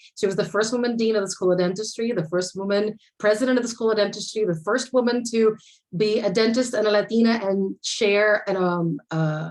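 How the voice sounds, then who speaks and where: A woman talks at a medium pitch and a fairly quick pace. Her pitch varies in an ordinary way. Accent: Spanish. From Puerto Rico. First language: Spanish. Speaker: architecture panelist. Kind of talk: conference panel talk.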